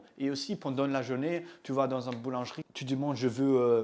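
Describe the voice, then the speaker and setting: A man with a German accent and a fairly high-pitched voice. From Germany. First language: German (speaking French). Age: 20s. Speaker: language-learning content creator. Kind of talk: tutorial. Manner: casual, halting with self-corrections.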